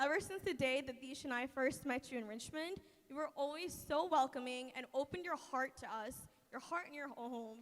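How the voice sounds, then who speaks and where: A woman speaks loudly at a moderate pace, her high voice showing ordinary pitch variation. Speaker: maid of honor. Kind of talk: wedding speech. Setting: wedding reception with audience.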